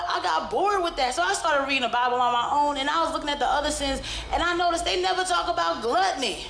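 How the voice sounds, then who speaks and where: Very fast and with hardly any pauses, a woman talks in an animated tone with lively intonation and very even loudness, amid noticeable background noise and audible room echo. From Brooklyn, New York. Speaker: stand-up comedian. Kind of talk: stand-up. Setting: stage with audience.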